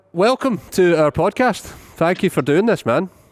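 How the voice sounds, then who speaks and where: Speaking in a Scottish accent, a man with a high pitch talks at a fairly slow pace with lively intonation and very even loudness, on a very clean recording with a silent background. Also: dry, close sound with no echo. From Scotland. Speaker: podcast host.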